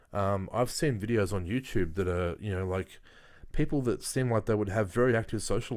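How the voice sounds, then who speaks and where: The man speaks in an Australian accent at a fairly low pitch and a moderate pace. The recording is very clean, with a silent background. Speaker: YouTuber. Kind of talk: casual monologue. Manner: halting, many fillers.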